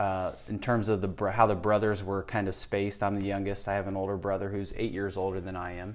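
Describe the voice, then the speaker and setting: In monotone, flat intonation, a man talks at a fairly quick pace with a fairly low pitch. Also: hardly any pauses. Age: 50s. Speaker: personal trainer and gym owner. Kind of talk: interview, personal life story. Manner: hesitant, with repetitions and fillers.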